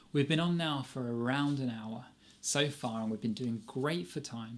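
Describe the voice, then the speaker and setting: A man speaks at medium pitch. His pitch variation is ordinary. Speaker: guitar teacher. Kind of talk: live online lesson. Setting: live stream. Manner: fast; animated.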